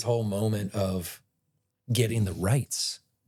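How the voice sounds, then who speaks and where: Speaking at a very slow pace, a man with an American accent sounds somewhat breathy. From Ohio, Cleveland area. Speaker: actor. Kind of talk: podcast interview, casual chat. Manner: animated, conversational.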